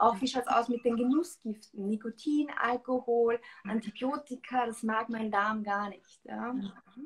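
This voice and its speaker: At a fairly high pitch, a woman talks fairly slowly with ordinary pitch variation. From Austria, rural farm. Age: 20s. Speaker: nutrition coach and author; nutrition coach. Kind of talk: interview on Instagram live. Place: home room. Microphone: video call.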